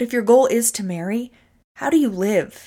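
Lively intonation and an animated tone at a fairly quick pace, on a very clean recording with a silent background. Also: woman. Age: 30s. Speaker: podcast host and nutrition coach. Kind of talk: motivational solo podcast talk.

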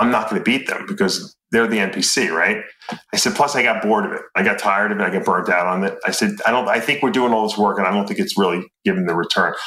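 A man's very fast, lively delivery at medium pitch, with a bright, sharp tone. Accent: New York. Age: 50s. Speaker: former bodybuilder and supplement company owner. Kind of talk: casual interview.

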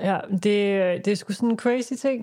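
In a very clean recording with a silent background, a woman speaks at a medium pitch with a dark, mellow tone. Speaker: podcast host. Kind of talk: casual chat. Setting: small studio.

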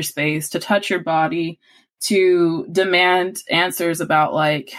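Her intonation fairly even, a woman talks with an American accent. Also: very clean recording, silent background. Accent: Southern US accent coming out. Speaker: podcast host. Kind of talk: podcast discussion.

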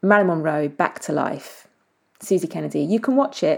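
In a very clean recording with a silent background, a woman with a normal speaking voice talks at a fairly low pitch with ordinary pitch variation. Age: 40s. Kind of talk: solo podcast monologue.

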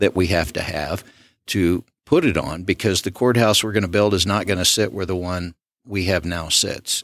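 A Southern US accent in a dry, close sound with no echo, on a very clean recording with a silent background. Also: man. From Southwest Arkansas. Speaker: county commissioner. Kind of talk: interview.

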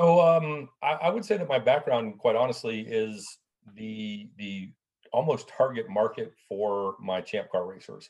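With an ordinary speaking voice, a man speaks at a fairly slow pace and medium pitch with lively intonation against a quiet background. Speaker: racing club president. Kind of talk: casual interview chat. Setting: video call. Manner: conversational, friendly.

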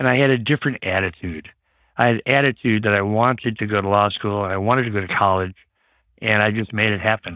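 A man with a normal speaking voice in an American accent, fairly low in pitch, fairly quick, with ordinary pitch variation. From US Midwest, Chicago suburbs. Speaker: trial lawyer. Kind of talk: interview.

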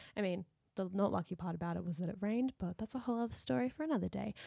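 Recorded dry and close with no echo, a woman speaks with an Australian accent. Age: 20s. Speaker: podcast co-host, dancer. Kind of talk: casual chat.

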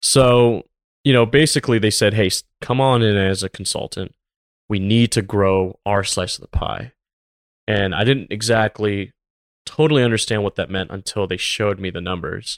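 A man with an American accent speaks in a normal speaking voice at a moderate pace, with ordinary pitch variation and a dry, close sound with no echo on a very clean recording against a silent background. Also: fairly low pitch for a man. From US South, Tampa, Florida. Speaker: business consultant and former retail buyer. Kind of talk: casual interview chat.

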